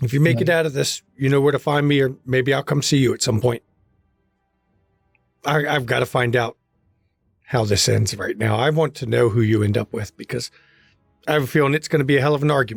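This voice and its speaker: A man's raspy, put-on character voice at medium pitch, fairly quick in pace with long, frequent pauses, and music in the background. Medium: actual play. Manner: grave, plain-spoken.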